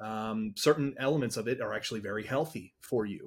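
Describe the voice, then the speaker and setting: A somewhat breathy man at medium pitch and moderate pace, on a very clean recording with a silent background. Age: middle-aged. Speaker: podcast host and company executive. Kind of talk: casual chat.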